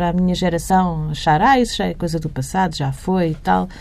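A woman's dark, mellow voice at a fairly quick pace, with ordinary pitch variation. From Portugal, Barreiro. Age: 40s. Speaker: journalist and editor. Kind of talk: interview.

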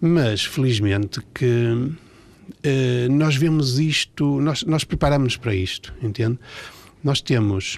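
A man speaks at a very slow pace and very even loudness. His medium pitch has ordinary pitch variation. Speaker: pediatric oncologist. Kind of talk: radio interview. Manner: halting.

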